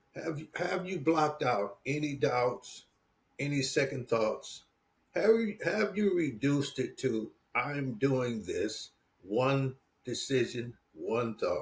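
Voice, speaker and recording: Speaking at a very slow pace, this man has a fairly high pitch, an American accent, lively intonation and a somewhat breathy quality. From US Midwest, Detroit. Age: 70s. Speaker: entrepreneur and business coach. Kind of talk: interview.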